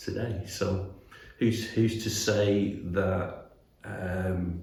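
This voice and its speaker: A man's very deep, low, somewhat breathy voice in a Mancunian accent, with audible room echo. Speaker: animation studio executive. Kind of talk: interview. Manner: halting, many repetitions and fillers.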